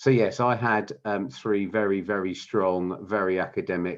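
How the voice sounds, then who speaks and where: Against a quiet background, a man speaks in a southern English accent with a very deep, low pitch. His pace is moderate and his pitch variation ordinary. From England, London (Wimbledon). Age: 60s. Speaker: business founder. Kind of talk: interview. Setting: podcast recording. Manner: halting, many fillers and repeats.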